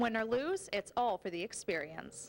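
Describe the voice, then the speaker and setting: A woman's voice with very wide pitch swings. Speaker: TV news reporter. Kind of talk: TV sports news package narration.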